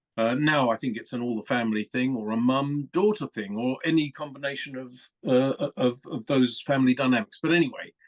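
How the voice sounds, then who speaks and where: In a southern English accent, a man talks at a fairly quick pace with ordinary pitch variation. The sound is dry and close with no echo. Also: medium pitch for a man, hardly any pauses. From England (London). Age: 60s. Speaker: motorsport communications executive. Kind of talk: podcast interview. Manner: hesitant fillers, conversational.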